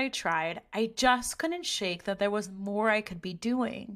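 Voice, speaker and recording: A loud woman's voice, bright and sharp in tone, fairly slow, with lively intonation, on a very clean recording with a silent background. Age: 30s. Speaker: podcast host. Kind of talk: scripted narration.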